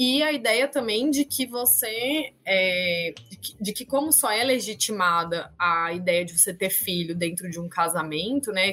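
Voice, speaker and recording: A woman at a medium pitch talks at a fairly slow pace with hardly any pauses and very wide pitch swings, against noticeable background noise. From Campinas, interior of São Paulo state, Brazil. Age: 30s. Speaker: history teacher. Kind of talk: casual interview.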